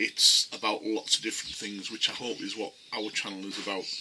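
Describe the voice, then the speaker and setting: Noticeable background noise accompanies the man as he speaks at a fairly quick pace. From UK. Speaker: bushcraft instructor and YouTuber. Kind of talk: casual video message to viewers. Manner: hesitant, many ums and repeats.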